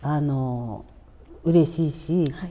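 A woman with a dark, mellow tone speaks with lively intonation. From Hokkaido (Urakawa, Hidaka). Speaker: Ainu cultural practitioner. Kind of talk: interview. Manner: casual, relaxed with laughter.

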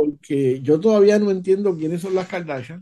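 A man at a moderate pace, with ordinary pitch variation and a dark, mellow tone. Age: 60s. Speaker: podcast guest. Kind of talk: casual chat.

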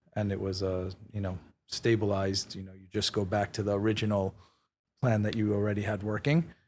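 With a New York accent, a man talks at a fairly quick pace in a fairly low voice with fairly even intonation, on a very clean recording with a silent background. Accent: New York American. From New York City (Queens, Manhattan). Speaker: real estate executive. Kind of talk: interview. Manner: hesitant, many fillers.

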